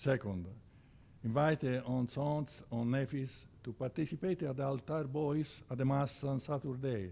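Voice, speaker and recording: With an Italian accent, a man speaks fairly slowly in a dark, mellow tone and fairly even intonation. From Italy, Siena. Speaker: church organization officer. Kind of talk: presentation with slides. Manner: halting, many hesitations.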